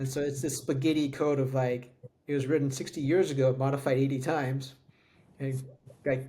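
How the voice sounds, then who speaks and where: A somewhat breathy man with a fairly high pitch and flat, monotone intonation, at a fairly quick pace with long, frequent pauses and audible room echo. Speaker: tech podcast co-host. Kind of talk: casual chat.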